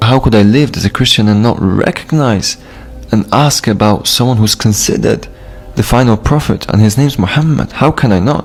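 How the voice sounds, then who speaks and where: Against noticeable background noise, a man talks at a fairly quick pace, with ordinary pitch variation and very even loudness. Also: medium pitch for a man. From Poland. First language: Polish. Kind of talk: testimony.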